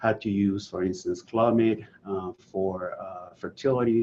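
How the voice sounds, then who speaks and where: A man with a Venezuelan accent, fairly low in pitch, with fairly even intonation. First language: Spanish. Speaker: health author and website founder. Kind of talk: presentation. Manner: hesitant, many fillers.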